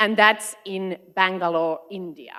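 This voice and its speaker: A woman speaks with a Finnish accent at medium pitch. Her tone is bright and sharp, and her intonation fairly even. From Finland, Arctic Circle area. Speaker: education consultant. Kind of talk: conference talk.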